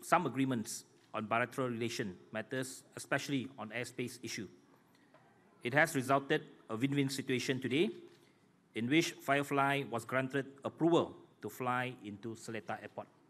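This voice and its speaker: Taking long, frequent pauses, a man talks at a moderate pace. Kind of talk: formal prepared speech. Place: hall. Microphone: podium.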